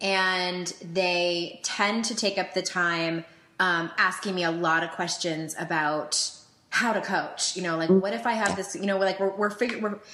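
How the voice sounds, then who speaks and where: A woman's bright, sharp tone sits at a medium pitch, with fairly even intonation at a moderate pace. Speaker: life coach and podcast host. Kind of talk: podcast conversation.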